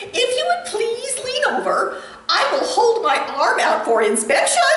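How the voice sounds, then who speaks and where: At a moderate pace, a put-on character voice pitched extremely high comes through with a slight echo. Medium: read story. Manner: prim, refined.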